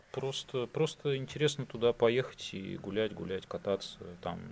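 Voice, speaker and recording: In a normal speaking voice at medium pitch, a man speaks at a fairly slow pace with lively intonation. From Russia, St Petersburg. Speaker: podcast guest, expat. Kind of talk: casual interview.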